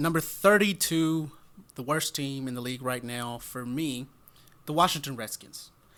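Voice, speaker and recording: A man talks at a moderate pace, his pitch varying in an ordinary way. The recording is very clean, and the background is silent. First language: not English. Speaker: football podcast co-host. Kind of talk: casual sports discussion.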